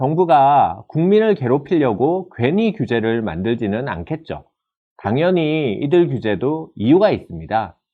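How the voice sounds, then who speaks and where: Fairly high male voice, its pitch swinging very widely. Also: fairly slow pace. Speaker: professor. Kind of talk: lecture. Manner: formal.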